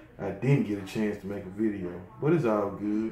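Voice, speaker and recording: A man with a fairly low pitch is heard over light background noise, with audible room echo. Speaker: hobbyist vlogger. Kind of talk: casual vlog chat. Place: home room. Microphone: phone near.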